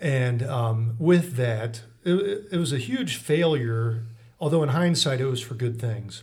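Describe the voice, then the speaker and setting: A somewhat breathy voice with an American accent at a fairly slow pace, ordinary pitch variation, and audible room echo. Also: man. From Mansfield, Ohio. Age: 30s. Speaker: attorney. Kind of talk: interview.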